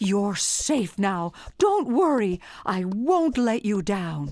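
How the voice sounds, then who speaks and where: Using a put-on character voice at medium pitch, a woman speaks at a very slow pace. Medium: read story. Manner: earnest, sincere.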